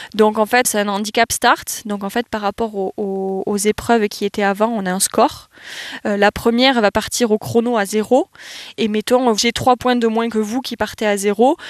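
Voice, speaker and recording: In a dry, close sound with no echo, a woman with a normal speaking voice talks at a fairly high pitch. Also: fairly even intonation, moderate pace. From southwest France, Landes. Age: 20s. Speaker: athlete. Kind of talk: interview.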